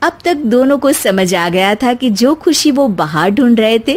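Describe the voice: Speaking at a fairly slow pace, a woman uses lively intonation at a fairly high pitch.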